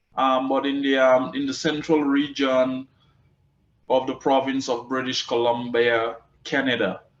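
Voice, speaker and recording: The pace is fairly slow, with a Caribbean accent. The intonation stays flat and monotone. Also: man, medium pitch for a man. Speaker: cannabis agriculture expert and business owner. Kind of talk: interview. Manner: repeats words often.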